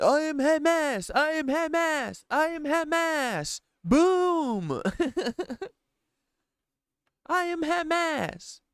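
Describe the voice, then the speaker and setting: A high-pitched, put-on character voice speaks at a very slow pace. Long pauses come often. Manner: mocking, deadpan.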